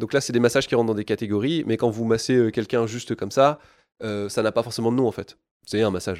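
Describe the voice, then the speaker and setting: At a very fast pace, a man of medium pitch speaks with fairly even intonation in a very clean recording with a silent background and a dry, close sound with no echo. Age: 30s. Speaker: sports product engineer, former physiotherapist. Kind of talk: expert interview.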